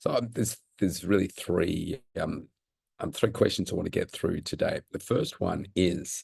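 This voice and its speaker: A man at a moderate pace, in an Australian accent. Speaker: personal trainer. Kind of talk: Q&A talk to camera. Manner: halting.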